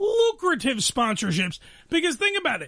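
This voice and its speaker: A man speaks with an excited, enthusiastic tone in a raised, projected voice that is bright and sharp. His pace is moderate over a quiet background. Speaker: podcast host. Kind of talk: podcast interview.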